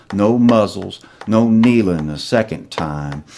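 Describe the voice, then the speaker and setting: Noticeable noise fills the background while the words come out at a very slow pace. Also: man. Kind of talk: poetry reading, patriotic slam poem.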